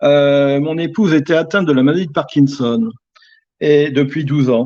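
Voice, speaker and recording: Moderate pace and ordinary pitch variation in a dark, mellow tone. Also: man. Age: 70s. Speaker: bereaved widower. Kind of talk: testimony. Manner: halting, many hesitations.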